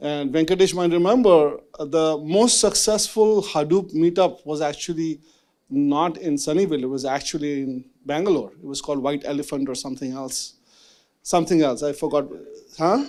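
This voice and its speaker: A man's fairly high voice with a dark, mellow tone and big swings in loudness, in a very clean recording over a silent background. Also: ordinary pitch variation, moderate pace. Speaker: venture capitalist moderating a panel. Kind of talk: fireside chat moderation. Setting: stage with live audience at a meetup. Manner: casual, filler-heavy.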